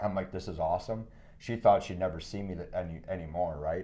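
This voice has a dark, mellow tone and an American accent, with ordinary pitch variation. Room echo is audible. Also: man. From Wisconsin. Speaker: entrepreneur. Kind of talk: casual interview.

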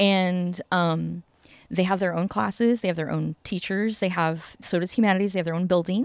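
Medium in pitch, a woman's voice carries a Californian accent. She keeps a moderate pace with ordinary pitch variation. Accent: Californian American. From Los Angeles, Venice. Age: 40s. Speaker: florist. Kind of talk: casual interview. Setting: outdoors in a backyard.

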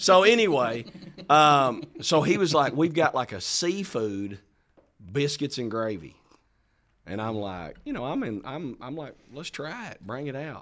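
A man speaks at a fairly slow pace in a fairly high voice, his pitch swinging very widely and his loudness rising and falling in big swings. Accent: Southern US. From Arkansas. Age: 40s. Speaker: pastor and podcast co-host. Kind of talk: casual chat.

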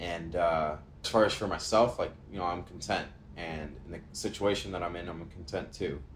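A man speaks with a very deep, low pitch and fairly even intonation. Room echo is audible around his voice. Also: moderate pace. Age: 20s. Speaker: podcast co-host. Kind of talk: casual chat.

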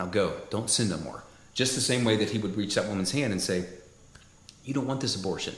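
This man's voice is somewhat breathy with a fairly low pitch. Long, frequent pauses break up his speech. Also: ordinary pitch variation, fairly quick pace. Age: 40s. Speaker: podcast co-host. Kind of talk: casual chat.

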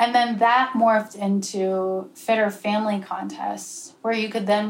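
Fairly even intonation with hardly any pauses and audible room echo. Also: woman. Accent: American. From Pennsylvania. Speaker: student presenter. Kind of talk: presentation to a small group.

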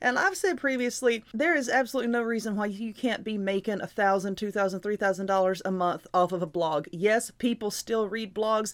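In a Southern US accent, a woman talks at a fairly quick pace with an animated tone, ordinary pitch variation and hardly any pauses. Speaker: podcast host and YouTuber. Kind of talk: motivational monologue. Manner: loud.

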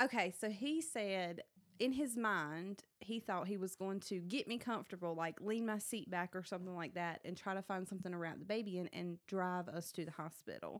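A woman at medium pitch with a Southern US accent, a fairly quick pace, hardly any pauses and ordinary pitch variation. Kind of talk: casual chat, storytelling. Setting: studio. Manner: animated.

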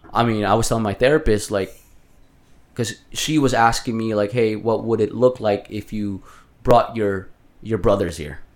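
With a Filipino accent, the voice moves at a moderate pace with ordinary pitch variation. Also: man, fairly low pitch for a man. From Philippines. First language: Tagalog. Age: 30s. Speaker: healthcare worker for elderly patients. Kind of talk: casual chat.

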